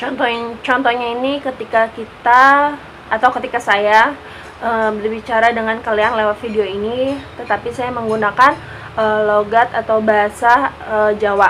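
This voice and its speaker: A woman's fairly high, monotone voice at a moderate pace, with flat intonation over noticeable background noise. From Jakarta, Indonesia. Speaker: university student. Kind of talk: class assignment vlog presentation.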